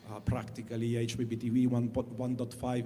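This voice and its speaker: The speaker has an Italian accent. The pace is fairly quick. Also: man. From Italy. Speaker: satellite industry executive. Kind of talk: panel discussion. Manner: halting, many fillers.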